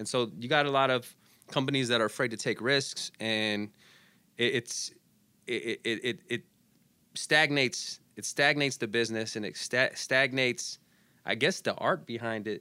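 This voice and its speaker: On a very clean recording with a silent background, a man at medium pitch speaks at a moderate pace in a bright, sharp tone, with ordinary pitch variation and long, frequent pauses. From Arizona, Phoenix. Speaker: radio DJ. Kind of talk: casual interview chat. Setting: studio.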